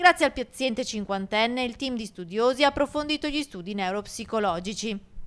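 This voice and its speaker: A woman with a plain, everyday voice talks at a fairly quick pace and a fairly high pitch, with hardly any pauses, lively intonation and big swings in loudness. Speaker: TV news reporter. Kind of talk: TV news report narration.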